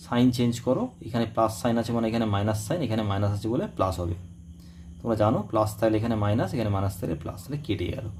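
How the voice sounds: A man's fairly low, slightly mellow voice at a very fast pace with ordinary pitch variation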